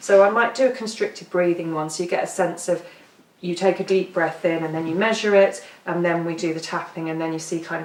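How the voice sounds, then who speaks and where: Speaking over noticeable background noise, a woman with a fairly low pitch keeps her intonation fairly even. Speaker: EFT tapping practitioner. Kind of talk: workshop talk. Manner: fast.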